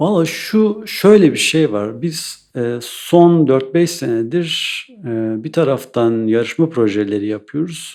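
A man with a fairly high pitch speaks at a very slow pace, making very wide pitch swings with hardly any pauses. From Eastern Turkey, Iğdır. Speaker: architect. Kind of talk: interview. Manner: hesitant, many fillers.

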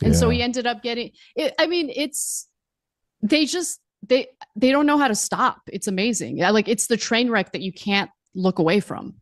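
Against a quiet background, a woman with vocal fry speaks at a moderate pace using lively intonation. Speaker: remote guest. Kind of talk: casual commentary chat. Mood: amused, gossipy. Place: home room. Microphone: studio mic.

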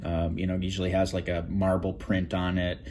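Light background noise behind a man's very deep, low voice at a moderate pace. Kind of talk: tutorial. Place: workshop. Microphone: phone near.

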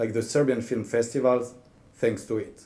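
With a French accent, a man speaks in a dark, mellow tone. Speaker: government official, cultural diplomacy director. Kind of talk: formal speech. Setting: embassy reception in front of an audience. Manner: formal. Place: hall. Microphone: podium.

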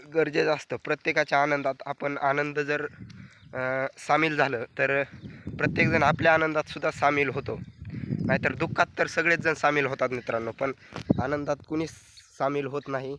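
A man's fairly high voice holds a monotone, flat intonation. The sound is dry and close, with no echo. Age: 20s. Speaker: vlogger. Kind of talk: casual vlog monologue.

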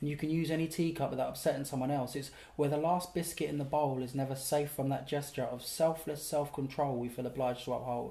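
A man talks very fast in a fairly high, somewhat breathy voice with a dark, mellow tone. His intonation is monotone and flat, with hardly any pauses. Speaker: poet and actor. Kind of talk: spoken word poetry performance. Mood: relaxed, playful, humorous. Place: home room.

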